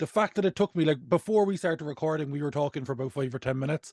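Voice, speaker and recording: Delivered at a very fast pace with ordinary pitch variation, the speech has a dry, close sound with no echo and a quiet background. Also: man. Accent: Cork. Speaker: podcast host, comedian. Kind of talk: casual chat.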